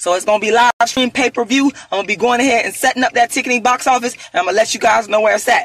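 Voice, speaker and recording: Over music in the background, a woman talks at a very fast pace in a high pitch with ordinary pitch variation, the sound dry and close with no echo. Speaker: activist, author and performer. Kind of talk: angry rant, boastful self-promotion. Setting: on the road, solo video. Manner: loud, defiant, emphatic.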